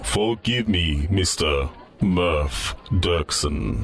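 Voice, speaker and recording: Clear background noise behind a put-on character voice from a man. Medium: audio drama. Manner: formal, stilted, literal.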